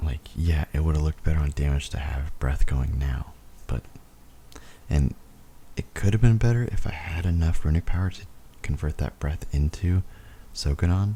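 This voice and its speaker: Over noticeable background noise, a man whispers, soft-spoken, at a moderate pace. Long pauses come often. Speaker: gaming video commentator. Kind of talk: gameplay voiceover commentary. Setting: home recording, voiceover. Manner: whispering, soft late-night voice; casual, halting with fillers.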